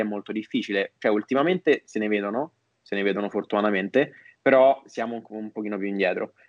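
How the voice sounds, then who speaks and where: A man's normal speaking voice at medium pitch, with fairly even intonation and a fairly quick pace. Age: 20s. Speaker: marketing entrepreneur. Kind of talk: podcast interview.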